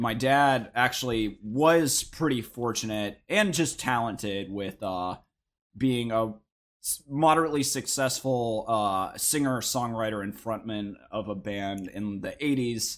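In a very clean recording with a silent background, a man speaks at a medium pitch with ordinary pitch variation and a fairly slow pace. He has a normal speaking voice. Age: 20s. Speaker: podcast guest. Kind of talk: casual chat.

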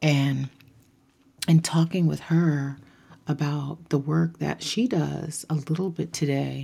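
Very slow and somewhat breathy, a woman speaks in a very deep, low pitch with a dark, mellow tone, fairly even intonation, and long, frequent pauses. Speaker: podcast host. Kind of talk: casual solo monologue.

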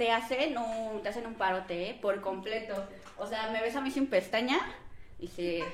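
With audible room echo and noticeable background noise, a woman of fairly high pitch talks at a moderate pace using ordinary pitch variation. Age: 20s. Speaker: business owner. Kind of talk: casual chat.

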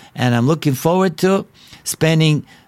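Someone speaks with a Bulgarian accent at a fairly slow pace. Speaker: evangelist preacher. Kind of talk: podcast sermon. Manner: halting; animated.

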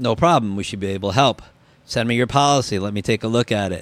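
A man with a New Jersey accent, fairly low pitch, fairly quick pace. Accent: New Jersey American. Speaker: insurance claims adjuster. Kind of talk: casual interview.

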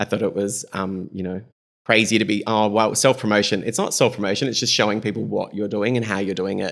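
A fairly low-pitched man with an Australian accent, speaking at a fairly quick pace. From South Australia, Greek-Australian family. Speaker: fashion stylist. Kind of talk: casual interview chat. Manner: animated.

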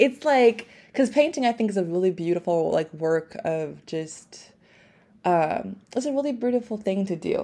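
A woman's dark, mellow tone with lively intonation at a fairly quick pace, against a quiet background. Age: 20s. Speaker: podcast host. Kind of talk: casual interview. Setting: recorded at guest's home, poor microphone.

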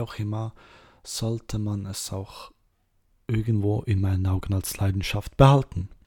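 A man's fairly low, somewhat breathy voice, dark and mellow in tone, flat and monotone, on a very clean recording with a silent background. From Switzerland, Serbian roots. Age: 20s. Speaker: podcast host, cosplayer. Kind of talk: casual monologue.

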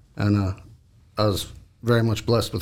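A man with an American accent, fairly low in pitch, at a very fast pace. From Washington State and Dallas, Texas. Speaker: war veteran. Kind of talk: casual chat.

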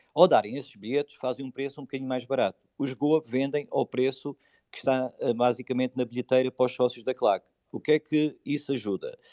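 A man talks at a fairly quick pace in a normal speaking voice. His pitch sits at a medium level. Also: quiet background. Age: 40s. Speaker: football supporters' group leader. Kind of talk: casual chat.

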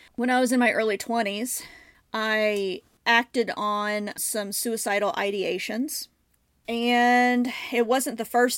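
The intonation holds fairly even throughout. Nothing can be heard in the background of this very clean recording. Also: woman. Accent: US Midwestern. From US Midwest, Southern Illinois. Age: 30s. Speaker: mental health podcast host. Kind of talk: personal monologue.

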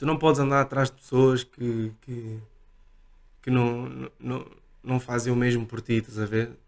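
A man speaks at a fairly slow pace in a monotone, flat intonation, leaving long, frequent pauses. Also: medium pitch for a man. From Portugal, Lisbon area. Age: 30s. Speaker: DJ. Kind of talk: casual chat.

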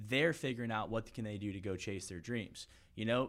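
In a normal speaking voice, a man with an American accent talks at a moderate pace on a very clean recording with a silent background. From US South, Florida (St. Petersburg). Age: 20s. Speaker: title company sales rep and podcaster. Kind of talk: casual interview.

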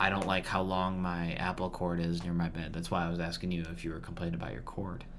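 A man speaks very fast in a very deep, low voice with monotone, flat intonation. Noticeable background noise runs underneath. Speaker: podcast co-host. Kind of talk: casual chat.

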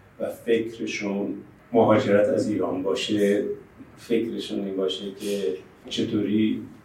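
Speaking very slowly, a man is heard with audible echo from the room. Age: 70s. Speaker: professor of management. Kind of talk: interview.

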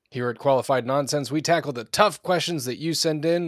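An ordinary speaking voice from a man with an American accent, fairly high in pitch with ordinary pitch variation, at a moderate pace in a very clean recording with a silent background. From US Pacific Northwest. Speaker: podcast co-host. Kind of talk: casual chat; scripted intro.

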